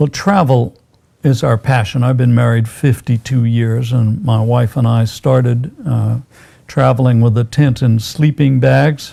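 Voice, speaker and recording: This somewhat breathy voice speaks with an American accent. The pace is fairly slow and the loudness very even. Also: man, medium pitch for a man, ordinary pitch variation. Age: 70s. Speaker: physician. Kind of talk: interview. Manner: hesitant, many fillers.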